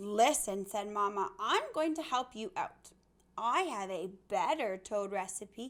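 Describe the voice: Intonation rises and falls in a lively way. The delivery is plain reading aloud.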